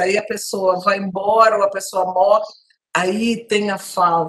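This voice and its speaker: A woman with an ordinary speaking voice, fairly even intonation and a fairly slow pace. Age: 60s. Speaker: TV talk show host. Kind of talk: TV panel discussion.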